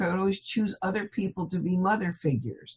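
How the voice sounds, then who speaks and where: Somewhat breathy, a woman with an American accent speaks at a medium pitch with lively intonation. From California, US. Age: 70s. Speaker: hypnotherapist. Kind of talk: interview.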